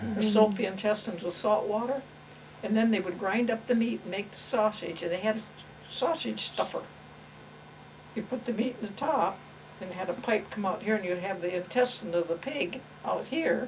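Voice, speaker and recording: A fairly high-pitched woman with ordinary pitch variation amid noticeable background noise. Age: 90s. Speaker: grandmother recalling her life. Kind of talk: casual chat.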